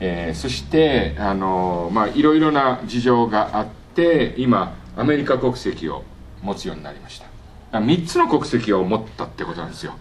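Amid noticeable background noise and audible room echo, a man of medium pitch talks at a moderate pace with very wide pitch swings and big swings in loudness. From Japan. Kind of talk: lecture. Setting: workshop with audience.

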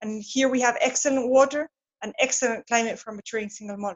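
A woman with a Spanish accent at a very fast pace, with fairly even intonation. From Argentina, Patagonia. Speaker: whisky distiller. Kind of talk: interview. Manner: halting, with repetitions.

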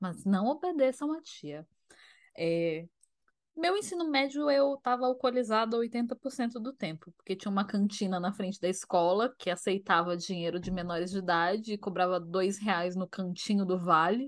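A woman with an unremarkable speaking voice talks at medium pitch and a moderate pace. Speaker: podcast co-host. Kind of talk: casual chat. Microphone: new microphone.

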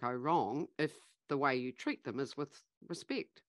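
A woman with a very deep, low pitch, ordinary pitch variation and a moderate pace, in a dry, close sound with no echo against a quiet background. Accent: New Zealand. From New Zealand. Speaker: leadership facilitator and business founder. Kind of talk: interview conversation.

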